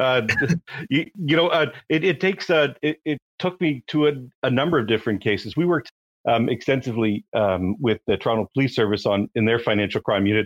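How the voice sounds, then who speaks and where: Speaking at a fairly quick pace, a man with a Canadian accent keeps his loudness very even. He has an unremarkable speaking voice at a medium pitch with lively intonation. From Canada. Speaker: compliance founder, forensic accountant. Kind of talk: casual interview chat. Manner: conversational, with fillers.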